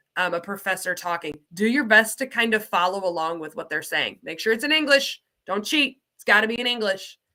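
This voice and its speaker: An animated woman with an American accent, medium in pitch and bright, sharp in tone, at a fairly quick pace with hardly any pauses, lively intonation and big swings in loudness. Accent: slight Southern US accent, mostly masked. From US South. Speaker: ESL program coordinator. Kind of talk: online teaching livestream. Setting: livestream.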